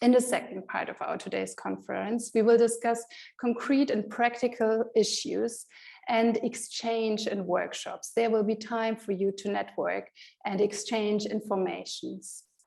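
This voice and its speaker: Speaking fairly slowly in a German accent, a woman uses a fairly high pitch and a dark, mellow tone with monotone, flat intonation. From Germany. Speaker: conference moderator. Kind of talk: event moderation. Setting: online conference via video call.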